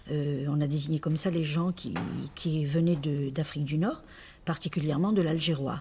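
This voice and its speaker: Dark and mellow in tone, a woman's somewhat breathy voice sits at a very deep, low pitch with fairly even intonation over light background noise. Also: moderate pace. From Algeria (pied-noir). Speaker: actress interviewee. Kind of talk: interview answer. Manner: hesitant, many fillers. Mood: calm, friendly, smiling. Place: home room.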